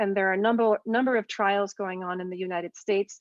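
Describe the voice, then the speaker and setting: Her pace is very fast. This woman's intonation stays fairly even. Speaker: physician, ear surgeon. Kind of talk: lecture. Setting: video call.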